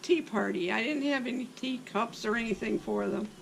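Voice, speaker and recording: A woman's moderately paced speech comes through with noticeable noise in the background. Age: 80s+. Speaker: interviewee. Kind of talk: life story interview. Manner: hesitant fillers.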